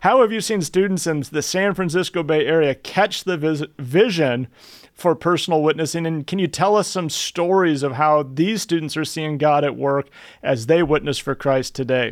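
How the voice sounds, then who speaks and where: A man's ordinary speaking voice, fairly high in pitch, at a moderate pace. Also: ordinary pitch variation. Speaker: podcast host and ministry president. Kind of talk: podcast interview.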